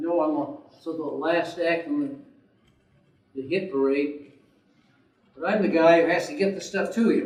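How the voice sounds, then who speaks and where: A man's high-pitched voice at a moderate pace, with ordinary pitch variation, long, frequent pauses and audible room echo. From Rhode Island. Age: 60s. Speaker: war veteran and local river advocate. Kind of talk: conference presentation. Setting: conference room with audience. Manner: halting, many fillers.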